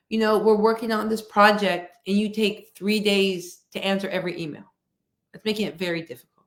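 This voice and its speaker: With an ordinary speaking voice, a woman talks at a moderate pace in a fairly high pitch. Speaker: workshop speaker on coaching and equity. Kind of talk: interview-style webinar talk.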